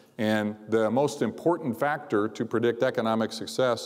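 The background is quiet as a man speaks with ordinary pitch variation. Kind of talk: convocation speech. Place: hall. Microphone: lapel.

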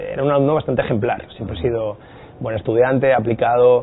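Delivered very fast, a man's speech stays monotone and flat in intonation. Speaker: guest. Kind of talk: interview answer. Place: studio. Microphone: lapel.

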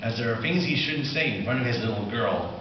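Fairly quick and medium-pitched, a man talks amid audible room echo. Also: lively intonation.

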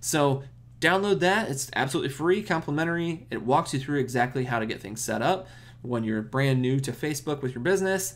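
A man speaks at a fairly quick clip. His intonation is lively. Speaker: marketing channel host. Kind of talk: tutorial outro. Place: home room. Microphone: webcam.

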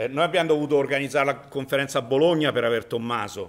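With intonation that stays fairly level, a man is talking. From Italy. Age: 60s. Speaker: conference presenter. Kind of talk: conference talk. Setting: conference with audience. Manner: jokey, informal. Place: hall.

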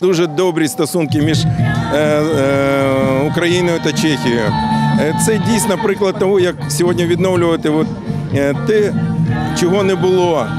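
Over loud background music, a man speaks at a fairly slow pace with ordinary pitch variation, the sound dry with no echo. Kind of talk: interview answer. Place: street.

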